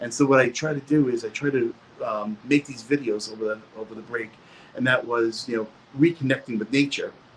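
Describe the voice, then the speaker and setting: A man with an American accent at medium pitch, with ordinary pitch variation and noticeable background noise. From New York. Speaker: science teacher. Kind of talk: panel discussion.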